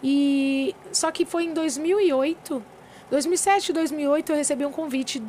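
Over noticeable background noise, a woman speaks at a very slow pace in a high voice with ordinary pitch variation. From São Paulo state interior, Brazil. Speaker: gospel singer. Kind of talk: casual interview chat.

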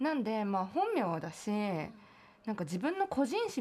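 A woman speaks at a moderate pace with lively intonation over noticeable background noise. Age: 20s. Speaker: singer-songwriter. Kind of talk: casual chat.

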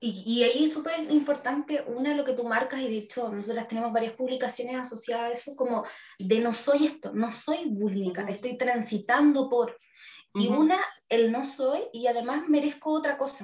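A woman with a Chilean accent speaks at a high pitch and a moderate pace. Her pitch varies in an ordinary way. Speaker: psychologist podcast co-host. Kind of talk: casual chat.

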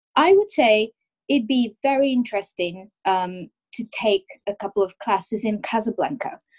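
Somewhat breathy, a woman talks at a moderate pace with a fairly high pitch and ordinary pitch variation, the sound dry and close with no echo. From Morocco, Rabat. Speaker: podcast guest from Morocco. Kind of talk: casual interview.

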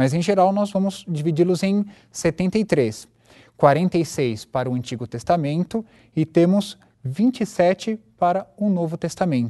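Against a quiet background, a man speaks in a high-pitched voice with a dark, mellow tone and lively intonation. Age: 20s. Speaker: religious teacher. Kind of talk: lecture.

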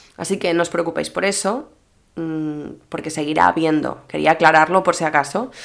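Over music in the background, a woman with a fairly low pitch speaks with long, frequent pauses. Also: ordinary pitch variation. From Mallorca, Spain. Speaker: social media influencer and podcaster. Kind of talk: solo podcast monologue. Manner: casual, chatty.

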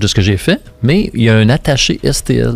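The speech moves at a fairly slow pace with ordinary pitch variation, and background noise is noticeable. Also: man. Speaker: sculptor. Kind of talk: casual interview. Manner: halting, many fillers.

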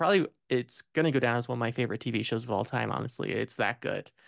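Vocal fry runs through speech delivered at a fairly quick pace with a US Midwestern accent and ordinary pitch variation. The background is quiet. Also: man. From Indiana, US Midwest. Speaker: film podcast host. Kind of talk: casual chat.

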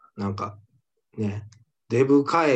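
A man talks at a fairly slow pace in a somewhat breathy voice with ordinary pitch variation. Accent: Kansai. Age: 20s. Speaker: comedian, podcast co-host. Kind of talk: casual chat.

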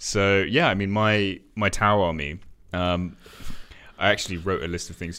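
A man's bright, sharp voice at a fairly quick pace. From England. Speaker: podcast co-host. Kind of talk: casual chat.

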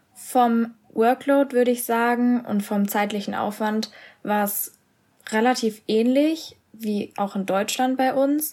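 Speaking at a very slow pace, a woman holds a fairly high pitch with fairly even intonation. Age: 20s. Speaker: university student. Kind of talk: casual interview.

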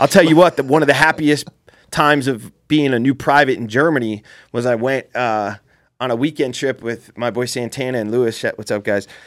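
A man with an American accent talks at a fairly quick pace, his pitch medium with ordinary variation. The recording is very clean, with a silent background. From Central New Jersey, Jersey Shore. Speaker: military veteran and show host. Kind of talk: casual chat.

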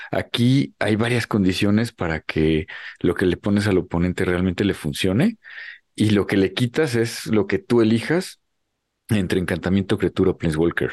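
An ordinary speaking voice comes at a moderate pace with ordinary pitch variation and very even loudness, in a dry, close sound with no echo and a quiet background. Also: man, fairly low pitch for a man. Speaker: podcast co-host. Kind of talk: casual chat.

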